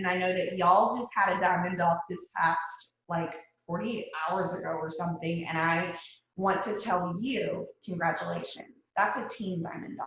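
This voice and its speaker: In a Texas accent, a woman talks at a moderate pace and medium pitch, with audible room echo around her voice. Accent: Southern US (Texas). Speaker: guest speaker, direct sales leader. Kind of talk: motivational talk on a video call. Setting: video call. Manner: animated.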